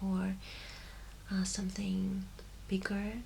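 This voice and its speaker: A soft-spoken woman whispering at a very slow pace over noticeable background noise. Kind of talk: ASMR shop assistant roleplay. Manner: soft-spoken, whispering.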